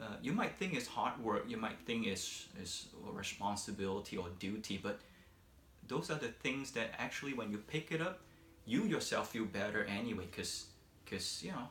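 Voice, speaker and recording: A man with a non-native accent speaks at a moderate pace and medium pitch, his intonation lively, with audible room echo. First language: not English. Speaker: vlogger. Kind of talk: casual monologue. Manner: halting, many fillers.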